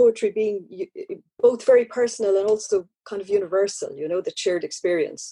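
A woman speaks at a fairly high pitch with a dark, mellow tone and lively intonation. Her moderate pace comes through a dry, close sound with no echo. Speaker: festival interviewer. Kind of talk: interview. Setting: online digital festival.

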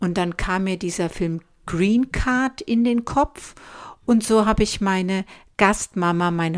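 Lively intonation from a woman, delivered very slowly. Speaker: podcast host of a tea shop. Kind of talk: casual chat. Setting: laptop recording in a house, TV in background.

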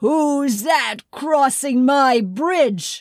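This woman uses a put-on character voice. Her pitch is high. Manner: commanding, demanding.

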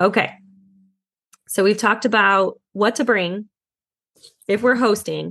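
A woman with vocal fry speaks at a fairly high pitch and fairly slow pace, with fairly even intonation, very even loudness, and long, frequent pauses. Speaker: podcast host. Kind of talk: casual interview chat.

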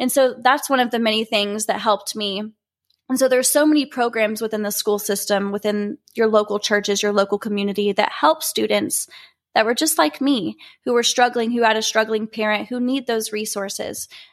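A woman with an American accent has a plain, everyday voice, fairly high in pitch with ordinary pitch variation. She talks at a fairly quick pace on a very clean recording with a silent background. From Oklahoma (Norman). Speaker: beauty pageant titleholder. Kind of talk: personal story monologue.

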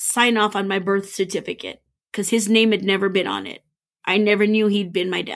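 With an unremarkable speaking voice, a woman with an American accent talks at a moderate pace in a medium pitch and fairly even intonation, on a very clean recording with a silent background. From Texas. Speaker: podcast guest sharing DNA discovery story. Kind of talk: personal testimony interview.

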